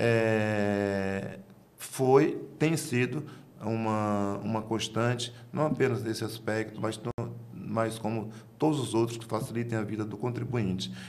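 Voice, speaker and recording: Amid audible room echo, a man talks at a very slow pace, medium in pitch, with fairly even intonation. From Bahia, Brazil. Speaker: tax auditor. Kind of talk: interview answer. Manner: halting, formal.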